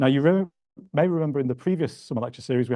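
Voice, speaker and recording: Against a quiet background, a man with a Yorkshire accent speaks in a dark, mellow tone with ordinary pitch variation. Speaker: museum research manager, lecture host. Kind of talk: event introduction. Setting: lecture hall with audience, streamed online.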